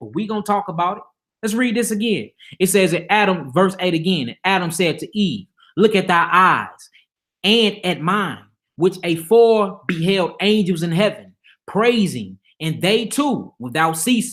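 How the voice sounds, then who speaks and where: This man talks at a fairly slow pace with an American accent. His pitch is high for a man. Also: ordinary pitch variation, very clean recording, silent background. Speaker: religious teacher. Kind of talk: Bible teaching livestream. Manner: casual, animated.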